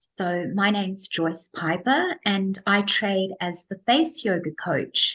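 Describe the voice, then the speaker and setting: Her pace is very slow. The woman's intonation stays lively throughout. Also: medium pitch for a woman. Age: 60s. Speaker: face yoga coach, business owner. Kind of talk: interview.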